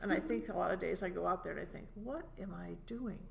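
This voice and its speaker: Fairly quick talking from a woman, with audible room echo. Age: 70s. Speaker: stand-up comedian. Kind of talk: casual chat. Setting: comedy club room.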